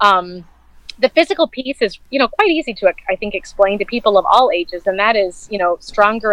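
A woman with an unremarkable speaking voice talks at medium pitch and a moderate pace, with ordinary pitch variation. The sound is dry and close, with no echo. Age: 40s. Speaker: corporate professional and counseling student. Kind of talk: interview.

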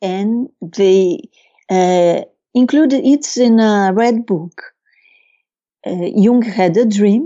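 In a Brazilian accent, a woman with a medium pitch speaks at a very slow pace with lively intonation. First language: Portuguese. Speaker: Jungian psychotherapist and author. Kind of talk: interview. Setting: video call. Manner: halting.

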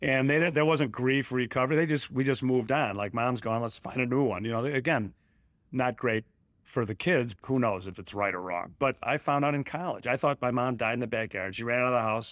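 On a very clean recording with a silent background, a man with a Chicago accent speaks at a medium pitch and a fairly quick pace with ordinary pitch variation. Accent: Chicago American. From Chicago area, Illinois. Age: 60s. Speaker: commercial real estate broker. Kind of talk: interview.

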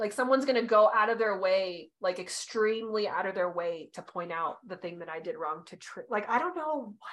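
Speaking fairly quickly, a woman with an unremarkable speaking voice at medium pitch uses lively intonation and big swings in loudness. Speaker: podcast co-host, human design reader. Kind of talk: casual chat.

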